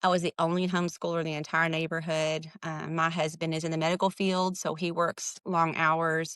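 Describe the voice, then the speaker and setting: A woman with a Southern US accent talks at a fairly quick pace in a monotone, flat intonation, her fairly low pitch captured with a dry, close sound with no echo. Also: hardly any pauses. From Texas, small town. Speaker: writer and hobby farmer. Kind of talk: podcast interview. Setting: remote recording.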